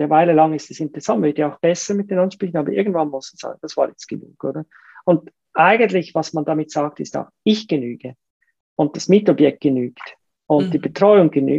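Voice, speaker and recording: A woman's very deep, low voice, dark and mellow in tone, at a fairly quick pace with lively intonation and big swings in loudness, in a dry, close sound with no echo. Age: 50s. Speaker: entrepreneur and investor. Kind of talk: casual interview. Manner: hesitant fillers, repetitions.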